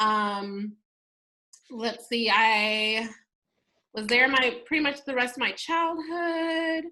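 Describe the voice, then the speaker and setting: A woman speaks at a very slow pace with a high pitch and long, frequent pauses. Her tone is bright and sharp, and her intonation lively. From New Mexico. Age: 20s. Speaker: teacher and small business owner. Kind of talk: casual interview chat.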